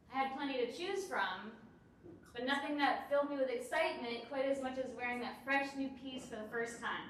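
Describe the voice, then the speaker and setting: A woman speaks loudly, her voice set high with audible room echo around it. Her pace is fairly quick. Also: ordinary pitch variation. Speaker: founder of a fashion library startup. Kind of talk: startup pitch presentation. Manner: projects loudly.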